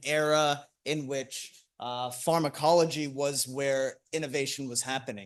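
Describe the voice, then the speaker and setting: A man speaks at a fairly high pitch with fairly even intonation. The background is quiet. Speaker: ophthalmologist presenting at conference. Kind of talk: conference talk. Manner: loud; hesitant, many fillers.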